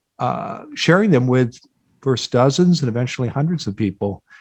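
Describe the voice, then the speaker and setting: At a moderate pace, a man with a Midwestern US accent speaks in a fairly high pitch. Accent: General American, Midwestern. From US Midwest, Iowa. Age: 60s. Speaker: job board founder, career expert. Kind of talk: podcast interview.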